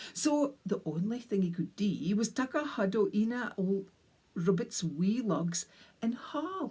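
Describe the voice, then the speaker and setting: A woman with a North East Scottish accent speaks at a fairly slow pace, her fairly high pitch carried by lively intonation and a dark, mellow, somewhat breathy tone. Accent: North East Scottish (Doric). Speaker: storyteller. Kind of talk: storytelling. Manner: animated.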